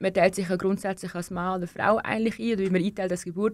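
At a medium pitch, a woman speaks in an unremarkable speaking voice. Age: 20s. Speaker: young political candidate. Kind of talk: radio interview. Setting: studio.

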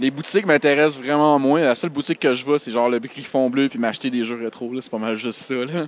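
With a Quebec accent, a man speaks at a very fast pace with hardly any pauses, at a medium pitch with ordinary pitch variation, against noticeable background noise. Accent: Québécois French. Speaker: indie game developer. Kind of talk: casual chat.

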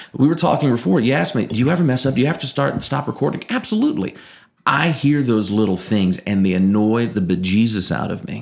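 Speaking very fast, a man uses lively intonation at a medium pitch. He has a slight Southern Louisiana accent. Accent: slight Cajun-tinged Southern Louisiana. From Louisiana, Acadiana. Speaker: morning radio show co-host and sports broadcaster. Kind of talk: casual interview chat.

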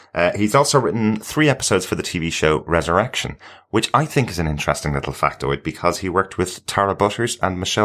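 A man with a very deep, low pitch talks fairly quickly with lively intonation on a very clean recording with a silent background. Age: 40s. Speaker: podcast co-host. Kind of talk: casual chat.

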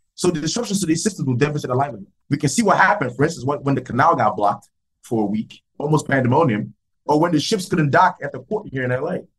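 A man talks at a very fast clip in a fairly high voice, somewhat breathy, with lively intonation. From Nigeria. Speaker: civil engineering professor. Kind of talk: interview.

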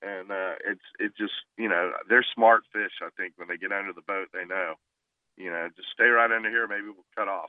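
A man with a fairly low pitch and a normal speaking voice talks at a moderate pace with fairly even intonation and big swings in loudness. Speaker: fishing guide. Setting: phone call.

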